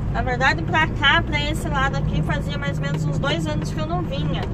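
A woman is heard over loud background noise. The sound is dry, with no echo. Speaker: truck driver vlogger. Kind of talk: casual vlog chat. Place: car. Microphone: phone near.

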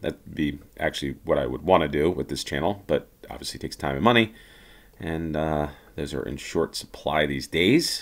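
This man has a very deep, low voice with vocal fry and an American accent. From United States. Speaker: gaming YouTuber. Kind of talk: gameplay commentary. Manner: casual, hesitant with many fillers.

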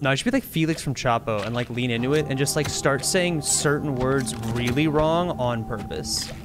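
Music plays in the background as a man of medium pitch talks at a moderate pace. He has ordinary pitch variation and hardly any pauses. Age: 20s. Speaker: video game streamer. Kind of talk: live game streaming commentary. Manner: animated.

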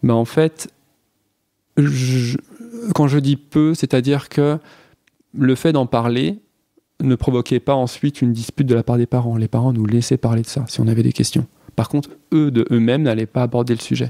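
A man talks in a medium pitch with a dark, mellow tone and fairly even intonation. His long, frequent pauses come through a dry, close sound with no echo. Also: moderate pace. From Franche-Comté, France. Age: 20s. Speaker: biology teacher. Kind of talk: personal testimony. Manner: hesitant, many fillers.

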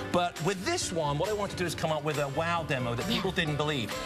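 Clear music plays in the background. A man with a British accent talks at a very fast pace. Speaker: TV pitchman. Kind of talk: TV morning show interview with product demos. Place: studio. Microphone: lapel.

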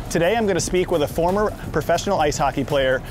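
Over music in the background, the speech comes at a very fast pace with an upbeat tone and ordinary pitch variation. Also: man. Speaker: hype man and event host. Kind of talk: travel show hosting to camera.

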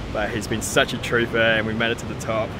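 Noticeable background noise sits behind a man's voice. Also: dry sound with no echo. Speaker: travel vlogger. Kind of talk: casual vlog chat. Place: open country. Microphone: phone near.

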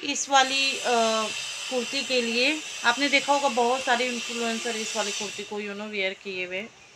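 A woman with a high pitch speaks fairly slowly, with ordinary pitch variation and big swings in loudness, amid noticeable background noise and audible room echo. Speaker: vlogger. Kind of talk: casual vlog narration.

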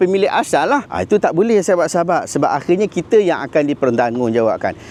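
A man's pitch swings very widely as he talks. The sound is dry and close with no echo, though noticeable background noise is present. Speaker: YouTuber and Islamic commentator. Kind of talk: religious commentary video.

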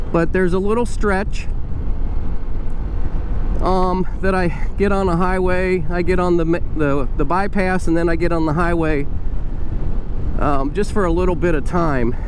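Long, frequent pauses break up the speech, which sounds dry with no echo against noticeable background noise. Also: moderate pace. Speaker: motovlogger. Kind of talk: casual vlog chat. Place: motorbike. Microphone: helmet.

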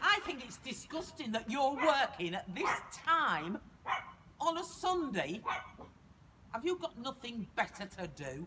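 Over noticeable background noise, a woman with a high pitch uses a raised, projected voice, moving at a fairly slow pace with long, frequent pauses and big swings in loudness. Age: old. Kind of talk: shouted complaint. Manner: indignant, scolding. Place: street. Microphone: camera far.

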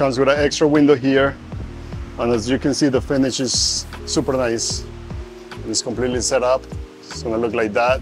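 Fairly quick speech with ordinary pitch variation over clear music in the background. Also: man. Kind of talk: product demonstration. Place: garage.

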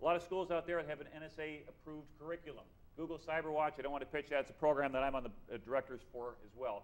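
A man talks at a very fast pace. His pitch is fairly high, and his intonation is fairly even. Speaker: panel moderator. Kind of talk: conference panel discussion. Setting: stage with audience. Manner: fast talker. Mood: upbeat, informal, joking. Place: hall. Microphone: podium.

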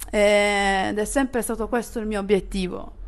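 A woman speaking with fairly even intonation. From Apulia, Italy (Barletta); Apulia, Italy. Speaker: DJ; interviewee. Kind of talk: casual interview. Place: home room.

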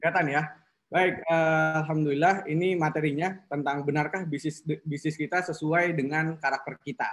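Monotone, flat delivery at a fairly quick pace. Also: man, fairly high pitch for a man. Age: 20s. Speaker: business trainer on personality types. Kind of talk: online class lecture. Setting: video call. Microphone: video call.

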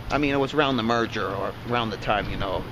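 A man speaks at a very fast pace over noticeable background noise. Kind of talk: casual vlog commentary. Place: street. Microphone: phone near.

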